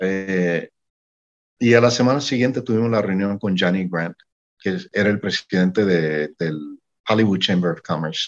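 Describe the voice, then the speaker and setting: With a very deep, low voice and ordinary pitch variation, a man speaks at a fairly slow pace. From Mexico. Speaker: singer-songwriter and music manager. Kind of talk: interview.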